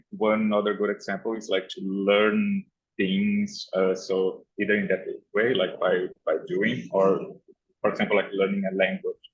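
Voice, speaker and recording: A man with a non-native accent speaks at a moderate pace. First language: not English. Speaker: unconference participant. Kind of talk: group discussion. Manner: halting.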